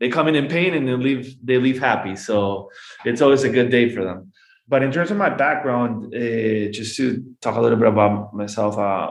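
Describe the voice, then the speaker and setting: In a Peruvian accent, a man talks at a medium pitch with ordinary pitch variation, and audible room echo surrounds his voice. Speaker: golf business manager and former pro golfer. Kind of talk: podcast interview. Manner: halting, many repetitions; fast.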